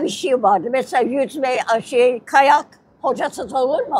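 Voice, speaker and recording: A woman talks at a high pitch with lively intonation and a fairly slow pace. The sound is dry, with no echo. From Istanbul, Turkey. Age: 80s+. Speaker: interviewee. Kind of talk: interview answer. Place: street. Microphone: lapel.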